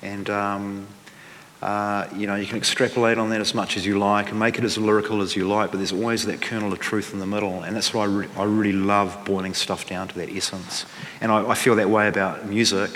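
Speaking fairly quickly in a flat monotone, a man with a New Zealand accent and a fairly low voice comes through over noticeable background noise. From New Zealand, Central Otago and Dunedin. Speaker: musician and author. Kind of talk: live interview on stage. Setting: stage with audience. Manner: halting.

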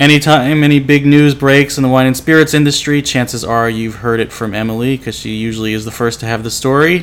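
Noticeable background noise sits behind a man at a medium pitch. He talks at a very fast pace, with fairly even intonation and hardly any pauses. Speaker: podcast host. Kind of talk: casual chat; scripted narration. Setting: convention venue, echoey room.

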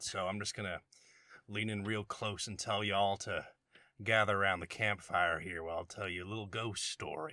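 Putting on a character voice, a man speaks raspily at a fairly low pitch and moderate pace, his intonation fairly even. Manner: leaning in, conspiratorial.

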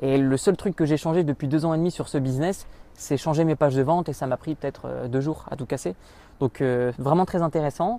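Speaking at a fairly quick pace, a man has a fairly high voice with a dark, mellow tone. His pitch varies in an ordinary way. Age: 20s. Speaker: online entrepreneur. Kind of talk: interview. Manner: halting, many fillers.

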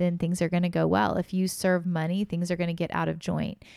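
An ordinary speaking voice from a woman, fairly low in pitch and fairly quick, with fairly even intonation, on a very clean recording with a silent background and a dry, close sound with no echo. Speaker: podcast host and author. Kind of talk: casual chat.

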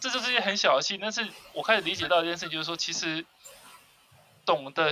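A man speaks over noticeable background noise. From Taiwan, Kaohsiung. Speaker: podcast co-host. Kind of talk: casual chat.

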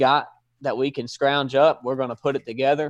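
A man's voice in a Southern US accent, at a moderate pace, over a quiet background. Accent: Southern US (Georgia). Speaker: former police officer. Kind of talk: interview conversation.

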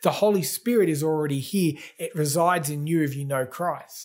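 Speaking with an Australian accent, a man uses lively intonation and a high pitch at a moderate pace. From Australia, Gold Coast. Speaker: pastor. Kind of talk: sermon.

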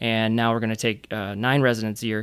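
Speaking at a fairly quick pace in a plain, everyday voice, a man with an American accent holds a medium pitch on a very clean recording with a silent background. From Michigan, Flint. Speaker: emergency and sports medicine physician. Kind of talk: casual interview.

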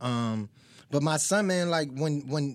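A man with an American accent and a normal speaking voice, fairly high in pitch, with lively intonation, in a very clean recording against a silent background. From Virginia Beach, Virginia. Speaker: rapper. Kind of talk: casual chat.

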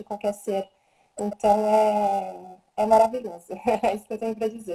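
Somewhat breathy delivery in a dark, mellow tone at a moderate pace. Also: woman. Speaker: Theta Healing practitioner and animal communicator. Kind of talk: casual live stream talk. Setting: Instagram live video stream. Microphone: voice too quiet at first.

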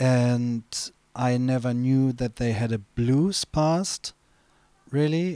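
A man with a German accent, medium pitch and ordinary pitch variation, dark and mellow in tone, on a very clean recording with a silent background and a dry, close sound with no echo. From Germany. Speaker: DJ. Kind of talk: casual chat. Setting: studio.

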